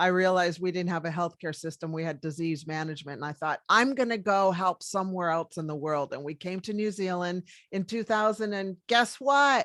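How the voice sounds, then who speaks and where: With an American accent, a woman speaks fairly quickly in an unremarkable speaking voice, fairly low in pitch with lively intonation. The sound is dry and close with no echo, on a very clean recording with a silent background. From US, Washington DC. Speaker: medical doctor. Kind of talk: interview.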